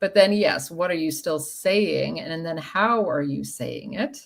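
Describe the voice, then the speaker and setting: This woman's intonation is lively. Her voice carries vocal fry. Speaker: sales trainer. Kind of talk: casual interview chat. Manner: deliberately paced.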